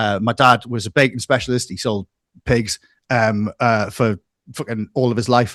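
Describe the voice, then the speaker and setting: Recorded dry and close with no echo, a man speaks at medium pitch and a moderate pace. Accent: Geordie. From northeast England, Newcastle. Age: 40s. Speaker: music analyst and YouTuber. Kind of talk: casual interview chat. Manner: halting, many repetitions.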